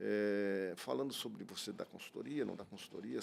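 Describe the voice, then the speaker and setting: Lively intonation runs through this man's fairly low-pitched voice. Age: 60s. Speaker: business executive. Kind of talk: podcast interview. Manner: halting.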